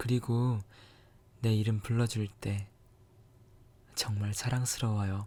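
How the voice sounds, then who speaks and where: Over a silent background in a very clean recording, a man speaks at a very slow pace with a fairly low pitch, a dark, mellow tone, somewhat breathy delivery, flat monotone intonation, and long, frequent pauses. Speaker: ASMR creator. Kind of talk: scripted romantic ASMR monologue, whispered. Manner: soft, intimate, slow, tender.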